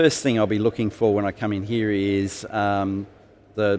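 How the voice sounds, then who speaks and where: This man has an Australian accent and a fairly low pitch, and he speaks at a moderate pace. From South Australia, Adelaide. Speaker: IT professional, conference attendee. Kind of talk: interview. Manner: hesitant, many fillers.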